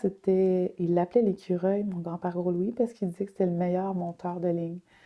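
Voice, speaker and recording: Here is a plain, everyday voice. The delivery is fairly quick. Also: woman. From Quebec, Wendake (Wendat Nation). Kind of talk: interview.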